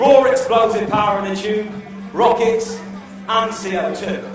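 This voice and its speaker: A man with a high pitch speaks at a moderate pace. Strong room echo and noticeable background noise surround his voice. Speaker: stand-up comedian, presenter and character performer. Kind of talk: stand-up comedy routine.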